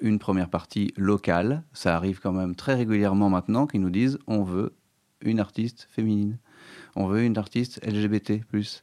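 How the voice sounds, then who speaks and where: A man at a moderate pace, with a dark, mellow tone, fairly low pitch and fairly even intonation, over a quiet background. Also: dry, close sound with no echo. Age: 40s. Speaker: concert venue programmer. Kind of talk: interview. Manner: hesitant, many fillers.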